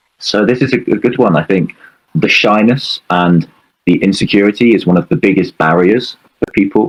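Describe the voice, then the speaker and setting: Recorded dry and close with no echo, a man with a British accent talks at a moderate pace in a fairly low pitch, his intonation lively and his loudness very even. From UK. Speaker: English speaking coach. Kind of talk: interview.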